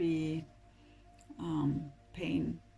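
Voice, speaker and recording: With music playing in the background, a woman speaks at a fairly low pitch. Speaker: tarot reader. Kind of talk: tarot reading to camera.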